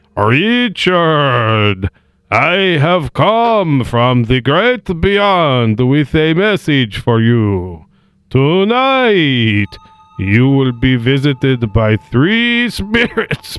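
A man's put-on character voice at medium pitch, very slow in pace, with very wide pitch swings. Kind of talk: formal, archaic. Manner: solemn, theatrical.

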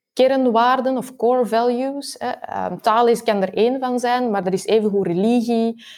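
Moderate pacing and ordinary pitch variation in a woman's fairly high voice. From Belgium, Antwerp. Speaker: university researcher. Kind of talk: interview.

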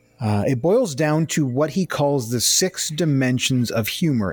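A man speaking with ordinary pitch variation. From Ontario, Canada. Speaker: podcast host. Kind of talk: casual chat. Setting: remote call. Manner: animated.

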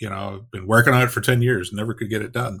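A man's voice has a bright, sharp tone and fairly even intonation. The recording is very clean, with a silent background. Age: 50s. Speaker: ghostwriter and author. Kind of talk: casual interview.

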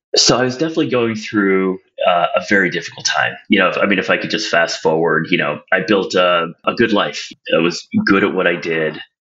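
In an American accent, a plain, everyday voice moves at a fairly quick pace with ordinary pitch variation. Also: man, fairly low pitch for a man. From US Midwest, Toledo, Ohio. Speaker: business coach. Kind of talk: interview testimony.

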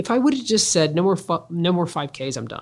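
A woman's fairly low voice, an ordinary speaking voice, with lively intonation at a moderate pace on a very clean recording with a silent background. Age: 50s. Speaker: podcast host, business leadership speaker. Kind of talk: solo podcast monologue on leadership. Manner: conversational, with filler words and restarts.

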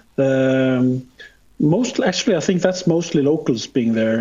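A man with a Norwegian accent speaks at a fairly slow pace and medium pitch, over noticeable background noise. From Norway. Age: 50s. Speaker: photographer. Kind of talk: interview. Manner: halting.

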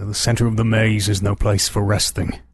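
A man speaks in a put-on character voice at a moderate pace. His pitch sits fairly low.

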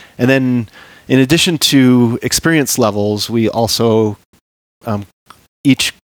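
Dry, close sound with no echo carries a man's medium-pitched voice with ordinary pitch variation. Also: long, frequent pauses, very clean recording, silent background. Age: 40s. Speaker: long-distance hiker and backpacking guide. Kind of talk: casual interview.

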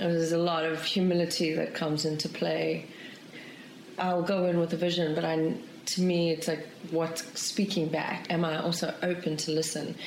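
Fairly low in pitch, a woman talks at a moderate pace with monotone, flat intonation and very even loudness. Noticeable background noise and audible room echo fill the recording. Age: 40s. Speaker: documentary filmmaker. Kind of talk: interview.

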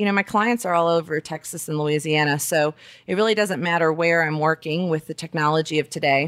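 A plain, everyday voice with an American accent, a fairly quick pace and ordinary pitch variation, in a dry, close sound with no echo and a very clean recording with a silent background. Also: woman. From Alabama, US South. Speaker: lawyer, podcast host. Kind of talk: solo monologue. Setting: dining room at home.

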